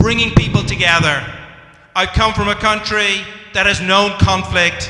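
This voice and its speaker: Heard with audible room echo, a speaker in an Irish accent talks with fairly even intonation. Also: man. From Ireland. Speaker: community organization leader. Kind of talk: public speech.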